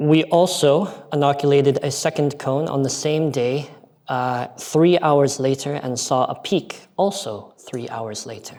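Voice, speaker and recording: A man with an American accent talks in an ordinary speaking voice, fairly high-pitched for a man, at a fairly slow pace with ordinary pitch variation. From United States. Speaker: aquaculture researcher. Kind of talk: conference presentation.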